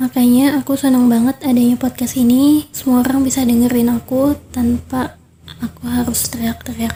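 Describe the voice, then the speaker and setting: Soft-spoken, a woman talks at a moderate pace in a high-pitched voice. Her intonation is monotone and flat. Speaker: podcast host. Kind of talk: casual monologue.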